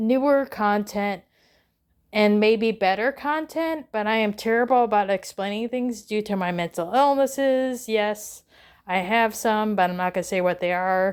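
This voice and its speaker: Here a woman with an American accent speaks at a moderate pace, her fairly high pitch showing ordinary variation. The recording is very clean, with a silent background. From northern US. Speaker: doll collector vlogger. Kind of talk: casual vlog ramble. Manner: halting, many fillers.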